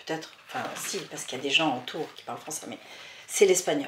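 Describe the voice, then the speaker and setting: A woman speaks in a very deep, low voice. Noticeable background noise can be heard. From France, daughter of Spanish immigrants. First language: Spanish (speaking French). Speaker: author and historian. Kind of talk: interview.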